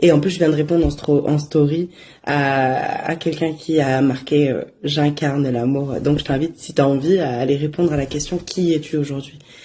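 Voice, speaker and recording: The voice has a dark, mellow tone and fairly even intonation, moving at a fairly slow pace with big swings in loudness. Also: woman. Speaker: oracle card reader. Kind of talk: casual daily oracle message. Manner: hesitant, many fillers.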